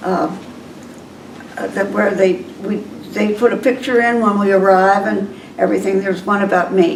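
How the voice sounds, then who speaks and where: A woman speaking with long, frequent pauses amid noticeable background noise and audible room echo. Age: 80s+. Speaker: retirement community resident. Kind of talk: casual interview chat. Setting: in her apartment. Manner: halting.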